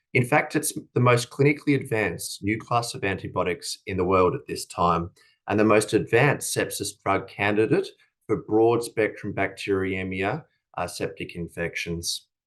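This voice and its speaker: In an Australian accent, a man speaks at a medium pitch and a moderate pace. The background is quiet, and his pitch varies in an ordinary way. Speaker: company executive. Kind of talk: conference presentation. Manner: formal; frequent filler hesitations.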